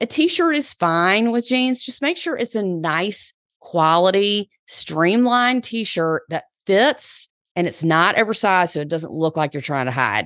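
Against a quiet background, a woman with a Southern US accent speaks at a fairly slow pace in a medium pitch, her animated, upbeat tone moving through very wide pitch swings in a dry, close sound with no echo. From US South. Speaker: podcast host and personal stylist. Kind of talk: casual solo podcast monologue. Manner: animated, upbeat, chatty.

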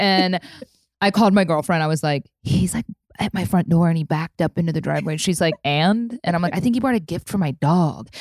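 A normal speaking voice with an American accent moves at a fairly quick pace, with ordinary pitch variation. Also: woman. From US Midwest. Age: 30s. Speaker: entrepreneur and former radio host. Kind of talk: casual interview chat.

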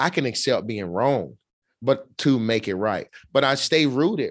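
A man talks at a moderate pace with an Alabama accent. The background is quiet. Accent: Southern US (Alabama). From Alabama, US South. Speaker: motivational speaker. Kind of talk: interview. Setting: studio, in person.

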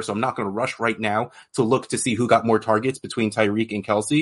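At a fairly quick pace, a man with an unremarkable speaking voice and ordinary pitch variation talks against a quiet background. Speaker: fantasy football podcast host. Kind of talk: casual chat. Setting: video call.

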